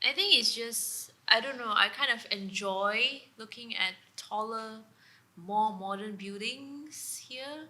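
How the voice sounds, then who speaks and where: Speaking at a very slow pace, a woman uses a fairly high pitch with ordinary pitch variation and big swings in loudness. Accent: Sabahan. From Sabah, East Malaysia. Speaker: guest co-host. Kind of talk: casual chat.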